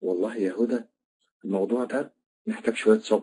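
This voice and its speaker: A man with an Egyptian accent. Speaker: trainer of trainers. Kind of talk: online lecture. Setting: online classroom.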